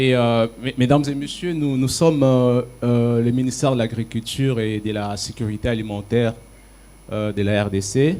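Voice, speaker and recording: A man's medium-pitched voice, dark and mellow in tone, with ordinary pitch variation at a fairly quick pace. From DR Congo. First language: French. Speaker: government agriculture official. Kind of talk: panel discussion.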